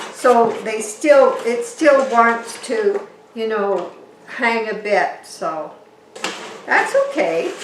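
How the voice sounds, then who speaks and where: Over noticeable background noise and audible room echo, a woman talks at a very slow pace and a high pitch. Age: 70s. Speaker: orchid grower and gardening vlogger. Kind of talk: casual home video tutorial. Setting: at home, indoors. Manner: chatty, halting with repeated words.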